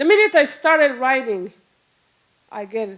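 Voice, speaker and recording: A woman's high voice in a Rwandan accent at a very slow pace. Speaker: storyteller. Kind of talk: live storytelling. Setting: stage with audience. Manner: halting.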